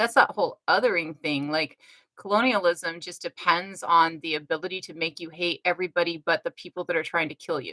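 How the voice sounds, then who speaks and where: A woman speaks at a moderate pace in a fairly low pitch with a bright, sharp tone and fairly even intonation. The sound is dry and close with no echo. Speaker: livestream host. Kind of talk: casual chat. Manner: hesitant, repeats words.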